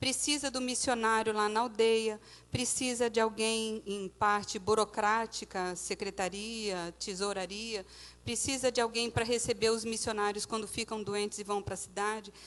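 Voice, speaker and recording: Her fairly high voice stays monotone and flat as this woman talks at a fairly slow pace. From Brazil, Santos (São Paulo state). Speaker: missionary. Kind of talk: church mission presentation with slides. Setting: church service.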